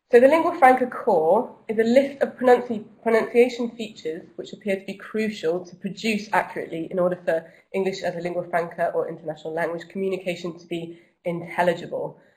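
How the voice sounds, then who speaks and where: A woman with a British accent talks at a very fast pace, her medium-pitched voice carrying lively intonation. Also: big swings in loudness. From Britain. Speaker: English language teacher. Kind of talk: online presentation.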